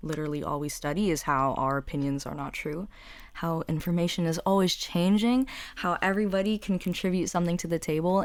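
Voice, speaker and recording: A woman talks at a fairly quick pace. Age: 20s. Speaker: podcast host. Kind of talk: casual monologue. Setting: at home. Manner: animated.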